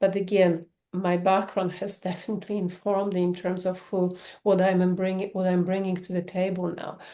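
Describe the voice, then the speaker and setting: Here a woman with a Polish accent speaks at a moderate pace and a medium pitch. Her tone is dark and mellow, her intonation monotone and flat. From Poland. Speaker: sex therapist. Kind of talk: podcast interview.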